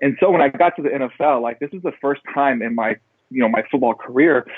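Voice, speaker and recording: A man with a medium pitch and ordinary pitch variation speaks in a plain, everyday voice. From Texas Panhandle. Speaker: former football player turned public speaker. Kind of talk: interview.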